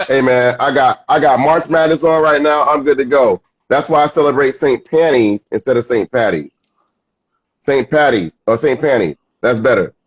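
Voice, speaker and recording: With a normal speaking voice, a man of fairly high pitch talks with ordinary pitch variation and very even loudness in a dry, close sound with no echo. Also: moderate pace. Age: 60s. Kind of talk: casual chat.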